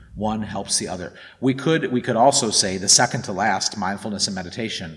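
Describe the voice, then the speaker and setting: A man with a normal speaking voice and a fairly low pitch talks at a moderate pace with ordinary pitch variation. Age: 40s. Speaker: dharma talk speaker. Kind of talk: dharma talk.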